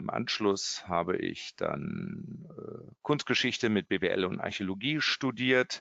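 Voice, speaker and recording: A man's medium-pitched voice at a very slow pace, with hardly any pauses and very wide pitch swings. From Germany, Kassel (Hesse). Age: 50s. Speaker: art auction house executive. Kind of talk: interview. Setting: remote call. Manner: hesitant with fillers.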